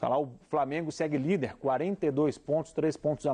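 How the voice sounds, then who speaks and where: A man's dark, mellow tone at a fairly high pitch and a moderate pace. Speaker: TV sports show host. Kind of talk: sports results roundup.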